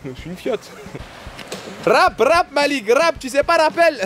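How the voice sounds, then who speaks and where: A man speaks in an animated tone. Noticeable background noise runs under his voice. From Paris, France. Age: 20s. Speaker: travel vlogger. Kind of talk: casual vlog chat.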